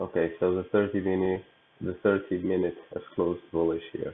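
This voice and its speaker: The man is soft-spoken. His pitch is fairly low. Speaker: trader. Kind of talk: tutorial. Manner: halting.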